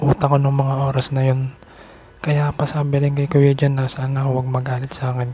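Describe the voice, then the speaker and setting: Noticeable background noise fills the recording. The speaking pace is moderate. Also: man. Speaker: vlogger. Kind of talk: personal vlog monologue. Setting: outside a house at night. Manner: soft-spoken, can't speak loudly; halting.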